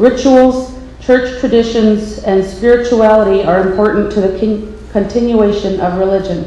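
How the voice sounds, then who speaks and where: Over noticeable background noise and audible room echo, a woman speaks at a moderate pace. Her pitch is fairly high, with ordinary variation. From Alaska, Saint Lawrence Island. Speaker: nonprofit leader. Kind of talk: testimony. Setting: public hearing. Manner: formal.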